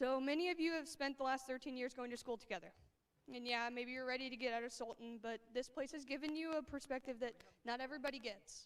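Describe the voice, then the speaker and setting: A woman with an American accent, shaky and high-pitched, at a fairly quick pace. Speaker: high school English teacher. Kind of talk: graduation speech. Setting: stage with audience. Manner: shaky voice.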